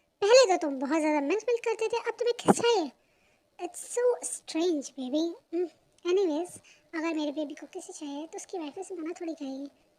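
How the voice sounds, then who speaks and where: A squeaky put-on character voice runs with lively intonation. It moves at a fairly quick pace. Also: woman, extremely high pitch for a woman. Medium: read story. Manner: sweet, indulgent, lightly scolding.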